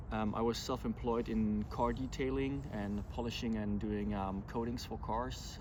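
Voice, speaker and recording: A man with a strong German accent at a moderate pace, with audible room echo. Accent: thick German. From Germany. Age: 40s. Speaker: vlogger, pilgrim. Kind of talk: casual vlog talk to camera. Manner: hesitant, many fillers.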